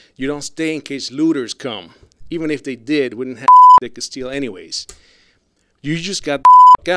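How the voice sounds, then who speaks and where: In a Puerto Rican accent, a man speaks with a fairly high pitch and an animated tone. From Puerto Rico. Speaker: rant commentator. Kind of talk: rant.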